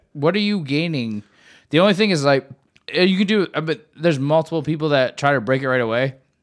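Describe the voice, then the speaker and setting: A man speaks at a fairly quick pace in a normal speaking voice. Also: very clean recording, silent background. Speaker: sports podcast co-host. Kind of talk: casual chat.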